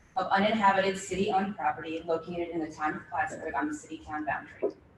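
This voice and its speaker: Talking at a very fast pace with ordinary pitch variation, a woman is heard over noticeable background noise. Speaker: city official presenting at hearing. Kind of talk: formal presentation at public hearing. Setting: public meeting.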